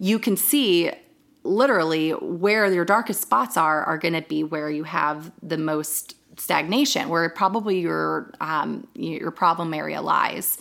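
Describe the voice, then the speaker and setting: A woman with an American accent has a plain, everyday voice and a fairly low pitch. Her intonation is lively. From Northern Virginia, US. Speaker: acupuncturist and herbalist. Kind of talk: casual interview chat.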